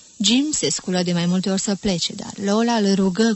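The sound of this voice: A reading voice that sounds unforced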